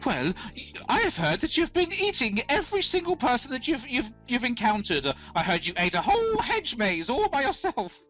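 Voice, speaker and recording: A put-on character voice, high in pitch with very wide pitch swings, is heard over faint music in the background. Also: fairly quick pace. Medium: actual play.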